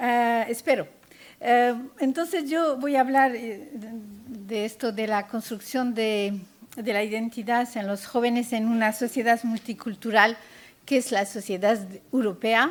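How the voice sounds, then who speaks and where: Her fairly high voice moves through ordinary pitch variation as this woman talks at a fairly slow pace. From France, child of Castilian Spanish immigrants. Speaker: panel speaker, works with immigrant children. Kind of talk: conference talk. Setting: conference panel with audience. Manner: hesitant, many fillers.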